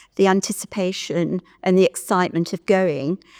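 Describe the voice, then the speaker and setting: A woman with an English Midlands accent speaks at a fairly slow pace and medium pitch in a dark, mellow tone, captured in a very clean, dry, close recording with a silent background and no echo. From Stratford-upon-Avon, England. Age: 70s. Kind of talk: oral history interview answer.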